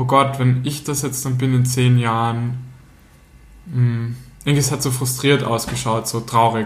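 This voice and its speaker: A man's somewhat breathy voice carries audible echo from the room. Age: 30s. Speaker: podcast co-host. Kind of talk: casual chat.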